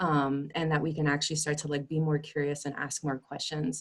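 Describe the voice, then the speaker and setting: The speaker is a woman. Her pitch is very deep and low. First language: Spanish. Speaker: community discussion participant. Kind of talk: group discussion, personal sharing.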